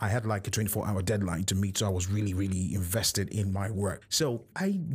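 A somewhat breathy male voice at a fairly quick pace. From Nigeria. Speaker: podcast host. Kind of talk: personal monologue.

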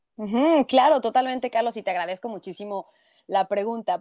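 A woman with a Mexico City accent speaks at a fairly high pitch in a dry, close sound with no echo against a quiet background. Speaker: journalist. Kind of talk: interview.

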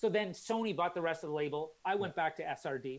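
A man uses a plain, everyday voice, moving at a fairly quick pace with ordinary pitch variation. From Calgary, Canada. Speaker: tech company founder, former radio promoter. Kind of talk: casual interview. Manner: chatty, laughs often.

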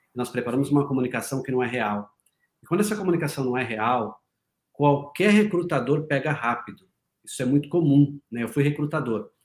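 Lively intonation from a somewhat breathy man, his pitch fairly high. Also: fairly quick pace. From Paraná, Brazil. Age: 40s. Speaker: leadership and performance mentor. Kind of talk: interview conversation.

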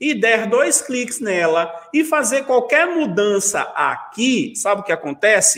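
Speaking at a very slow pace, the voice swings very widely in pitch. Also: man. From Brazil, Pernambuco interior. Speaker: Photoshop instructor. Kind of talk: live-stream interview; software tutorial.

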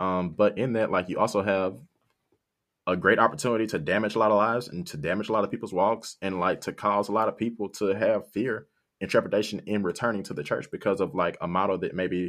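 Speaking at a fairly quick pace, a man uses a fairly low pitch. His intonation is fairly even, and the background is quiet. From South Haven, Michigan, US. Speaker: podcast co-host. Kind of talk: casual chat.

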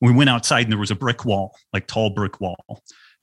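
At a fairly quick pace, a man with a fairly low pitch uses a normal speaking voice and fairly even intonation, recorded very cleanly against a silent background with a dry, close sound and no echo. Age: 50s. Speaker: health author and podcast guest. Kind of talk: interview.

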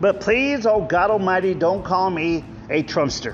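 A high-pitched man's voice in an American accent at a moderate pace, with music in the background. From Texas, Rio Grande Valley. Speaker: podcast host, chef and political candidate. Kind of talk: casual solo monologue. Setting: outdoors under a park pavilion.

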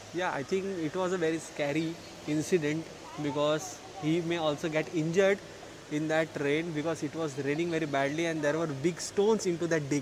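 A man's fairly high-pitched voice with fairly even intonation over noticeable background noise. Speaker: COVID patient. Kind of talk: casual chat. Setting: quarantine center, remote call.

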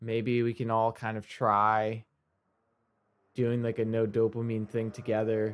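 With long, frequent pauses, a man talks at a fairly slow pace in a monotone, flat intonation at medium pitch. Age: 20s. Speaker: podcast host and musician. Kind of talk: solo podcast monologue. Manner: casual, with many fillers.

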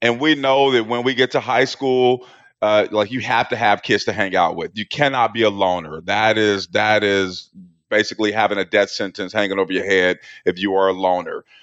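In an ordinary speaking voice, a man with an American accent talks at a moderate pace with a fairly low pitch and ordinary pitch variation. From Portland, Oregon. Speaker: author and recovery speaker, former prisoner. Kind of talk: testimony.

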